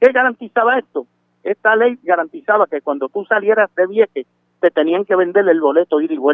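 With lively intonation and a moderate pace, a man talks at a high pitch. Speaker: community activist. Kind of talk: phone interview. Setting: phone call.

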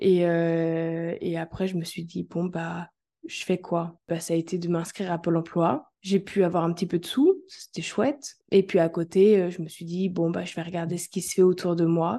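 A woman speaks at a fairly slow pace with hardly any pauses, her dark, mellow tone held in a monotone, flat intonation. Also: quiet background. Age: 20s. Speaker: holistic coach. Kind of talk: interview.

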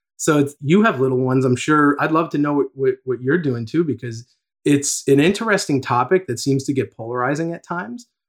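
A man with an ordinary speaking voice and an American accent, fairly high pitch, ordinary pitch variation and a fairly quick pace. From New York metro area. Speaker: tech executive. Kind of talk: casual interview.

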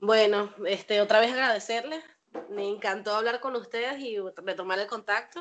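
A woman with an unremarkable speaking voice, fairly high in pitch, with ordinary pitch variation at a moderate pace. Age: 20s. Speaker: cleaner and caregiver. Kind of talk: casual family chat.

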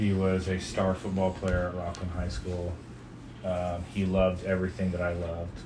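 Speaking at a moderate pace with a fairly even intonation, a man with a very deep, low voice and an American accent is heard over noticeable background noise. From California. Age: 40s. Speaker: father being interviewed by his daughter. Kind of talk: oral history interview, reminiscing life story for his daughter, nostalgic and candid. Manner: relaxed, conversational, humorous, laughs at memories, sincere and earnest at the end.

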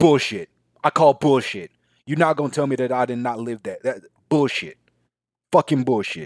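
A man at a fairly high pitch and moderate pace, animated in tone with ordinary pitch variation and long, frequent pauses, in a dry, close sound with no echo. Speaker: podcast host. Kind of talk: solo comedic podcast monologue, casual rant. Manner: animated, ranting, profanity-laden.

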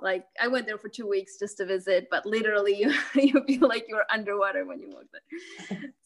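In a plain, everyday voice, the speaker moves at a fairly quick pace with hardly any pauses and big swings in loudness. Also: woman, fairly high pitch for a woman, ordinary pitch variation. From Mexico and Canada, Lithuanian-born. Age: 30s. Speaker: university student, podcast guest. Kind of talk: casual interview.

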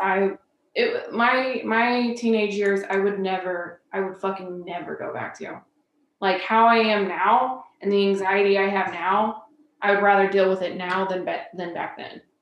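A woman's medium-pitched voice in a Midwestern US accent, fairly slow and fairly even in intonation. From central Illinois (Decatur). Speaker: social worker. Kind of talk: casual interview.

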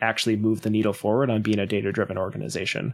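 In an American accent, a man talks at a very fast pace and medium pitch on a very clean recording with a silent background. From Wisconsin, US Midwest. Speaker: data analytics company founder. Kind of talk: interview.

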